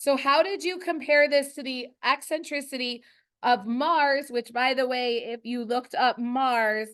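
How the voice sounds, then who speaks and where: A woman speaks loudly at a fairly slow pace, her high voice showing ordinary pitch variation. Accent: American. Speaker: high school earth science teacher. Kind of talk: classroom lesson. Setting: classroom.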